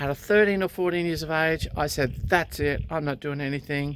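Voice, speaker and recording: A woman speaks with an Australian accent at a very deep, low pitch and fairly even intonation. The recording is very clean, with a silent background. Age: 60s. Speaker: recreational pilot, vlogger. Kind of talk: personal storytelling vlog. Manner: conversational with hesitations.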